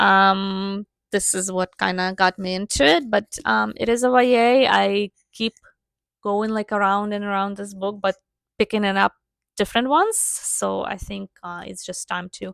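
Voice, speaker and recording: Medium-pitched woman's voice with a non-native accent, moderate pace, fairly even intonation and big swings in loudness, in a dry, close sound with no echo. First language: not English. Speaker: book reviewer. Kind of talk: casual chat. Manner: hesitant, many fillers.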